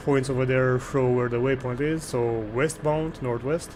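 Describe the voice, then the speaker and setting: A man at medium pitch with fairly even intonation and a fairly slow pace, under noticeable background noise. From Romania. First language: Romanian. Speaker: gaming streamer. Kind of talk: live gameplay stream with chat. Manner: casual, thinking aloud.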